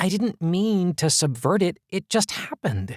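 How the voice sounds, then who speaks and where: This man puts on a character voice pitched high. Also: moderate pace, very clean recording, silent background. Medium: read story. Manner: wistful, self-deprecating.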